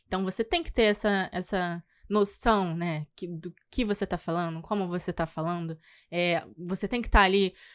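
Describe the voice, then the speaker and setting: Soft-spoken, a woman at a medium pitch talks at a moderate pace with fairly even intonation, recorded dry and close with no echo and a very clean, silent background. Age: 20s. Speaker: tour guide. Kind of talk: podcast interview. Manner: halting.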